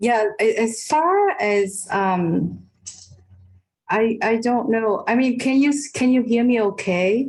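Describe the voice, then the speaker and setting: At a very slow pace, the voice moves with lively intonation while its loudness stays very even. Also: woman, fairly high pitch for a woman. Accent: slight non-native. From Vietnam. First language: Vietnamese. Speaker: professor. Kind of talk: online discussion. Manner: halting.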